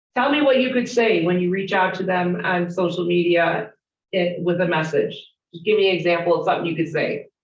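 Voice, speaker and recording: A woman with a Chicago accent talks at a fairly quick pace and a fairly low pitch. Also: ordinary pitch variation. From Chicago, US Midwest. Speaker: real estate trainer. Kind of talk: interactive training session.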